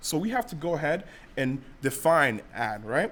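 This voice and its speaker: A man speaks at a moderate pace. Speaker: workshop instructor. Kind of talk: tutorial. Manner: loud; halting.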